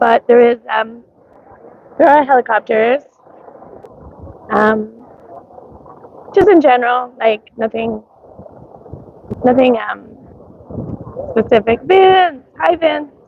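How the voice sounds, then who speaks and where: Noticeable background noise sits behind the voice. A woman speaks very slowly in a high pitch. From Canada, Nova Scotia. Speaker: live streamer. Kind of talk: casual live stream chat. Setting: outdoors at a street parade. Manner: hesitant, many ums and likes.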